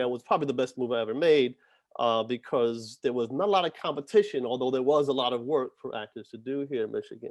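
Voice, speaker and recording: Recorded with a dry, close sound and no echo, a man speaks in a New York accent at a medium pitch with ordinary pitch variation. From New York City. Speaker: actor and acting instructor. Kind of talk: talk to students. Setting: video call. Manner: hesitant with fillers.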